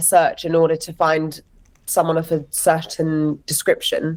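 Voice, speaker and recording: With an English accent, a woman talks at a fairly low pitch and a moderate pace. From London, England. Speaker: actress and writer. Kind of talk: interview conversation.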